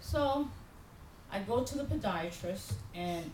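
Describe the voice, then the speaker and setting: A woman speaks in an animated tone with very wide pitch swings. Audible room echo and noticeable background noise fill the recording. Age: 50s. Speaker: pastor. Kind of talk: sermon.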